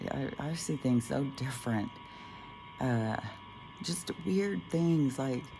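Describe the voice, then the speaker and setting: Music plays in the background as the speech moves at a very slow pace. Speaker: spiritual vlogger. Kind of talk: casual monologue vlog. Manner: halting, many fillers.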